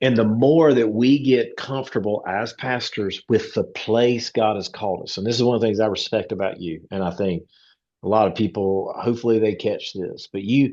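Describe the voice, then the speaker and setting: With a strong Southern US accent, a man speaks at a medium pitch in a dark, mellow tone. The pace is moderate and the background is quiet. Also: ordinary pitch variation. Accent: strong rural Southern US. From Eastern North Carolina. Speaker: pastor. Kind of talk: casual conversation. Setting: video call.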